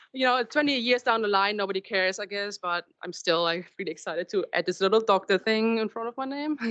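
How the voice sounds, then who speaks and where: A woman with a German accent and a medium pitch speaks at a very fast pace with ordinary pitch variation and hardly any pauses. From Germany. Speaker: marine scientist. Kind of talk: public talk. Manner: halting.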